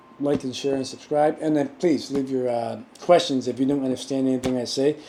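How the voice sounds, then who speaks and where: A man at a medium pitch speaking at a fairly quick pace in a monotone, flat intonation, with noticeable background noise. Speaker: qi gong teacher. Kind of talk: lecture. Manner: fast.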